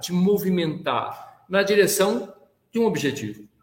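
A man speaks with a high pitch. Room echo is audible. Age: 60s. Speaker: business executive and sustainability leader. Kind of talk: interview.

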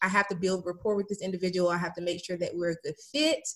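A woman speaks at a medium pitch with fairly even intonation. It is a plain, everyday voice. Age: 30s. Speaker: business coach. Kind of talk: casual chat.

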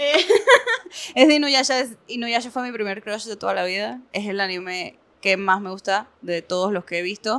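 A woman's plain, everyday voice at medium pitch, with lively intonation and a moderate pace. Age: 20s. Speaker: NGO worker. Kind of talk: casual chat.

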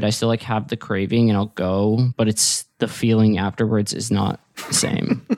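A man with an ordinary speaking voice talks at a moderate pace, his pitch fairly low, in a dry, close sound with no echo. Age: 30s. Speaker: podcast host. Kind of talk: casual chat.

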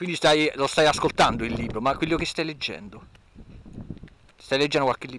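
A man's fairly high voice at a fairly quick pace, with ordinary pitch variation and long, frequent pauses. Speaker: podcast host. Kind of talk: casual chat while walking. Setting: outdoors, walking, wind noise, handheld recorder. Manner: casual, chatty.

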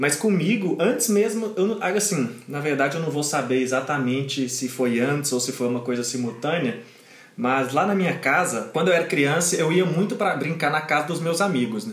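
Noticeable background noise and audible room echo surround a man speaking at a moderate pace. His pitch is fairly high and his intonation lively. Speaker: podcast co-host. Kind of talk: casual chat.

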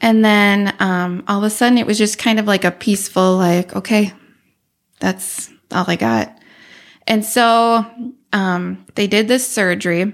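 In an Upper Midwest accent, a woman speaks at a fairly slow pace and a medium pitch, with long, frequent pauses, very even loudness and fairly even intonation, on a very clean recording with a silent background. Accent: Upper Midwest American. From Northwest Wisconsin, US. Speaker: web and graphic designer. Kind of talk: podcast interview, personal story.

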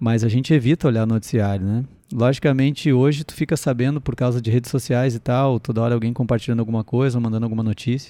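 Speaking at a very fast pace with hardly any pauses, a man uses a medium pitch, a dark, mellow tone and fairly even intonation. The recording is very clean with a silent background. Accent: Gaúcho Brazilian. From southern Brazil, Rio Grande do Sul (Sapiranga, near Porto Alegre). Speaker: comedian and podcast host. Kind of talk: casual solo podcast monologue. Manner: chatty and hesitant, with fillers.

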